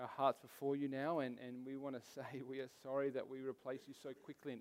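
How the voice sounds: A reading voice, natural in delivery.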